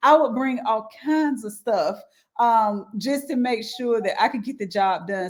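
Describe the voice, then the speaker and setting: A woman with a strong Southern accent talks at a moderate pace, her high pitch carrying lively intonation. The recording is very clean, with a silent background. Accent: thick Southern. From US South, rural Halifax County. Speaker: education professional, government affairs liaison. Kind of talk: interview.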